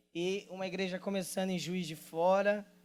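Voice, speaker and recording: There is music in the background. A man speaks with a high pitch. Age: 20s. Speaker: pastor and worship leader. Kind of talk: sermon. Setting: church stage with audience. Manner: casual, joking.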